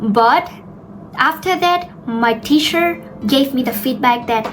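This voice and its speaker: A woman with a high-pitched voice talks at a fairly slow pace with ordinary pitch variation over noticeable background noise. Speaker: English teacher YouTuber. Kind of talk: tutorial. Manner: slow, deliberate; clear ending sounds.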